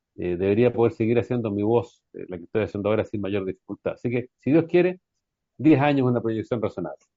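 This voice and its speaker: Very fast and full of lively intonation, this voice with a Chilean accent also swings widely in loudness. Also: man, medium pitch for a man. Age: 60s. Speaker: folk singer. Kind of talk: radio interview.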